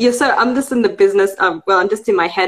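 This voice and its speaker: A woman speaks with an Australian accent. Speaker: podcast host. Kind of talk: casual interview.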